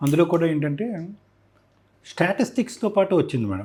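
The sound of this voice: This man's fairly high voice carries a slightly husky edge and a slightly mellow tone, moving at a fairly quick pace with big pitch swings.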